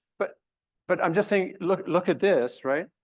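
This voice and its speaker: A man speaks over a quiet background. His pitch varies in an ordinary way. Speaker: pediatric medicine instructor. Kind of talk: simulation debriefing lecture. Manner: halting, many restarts.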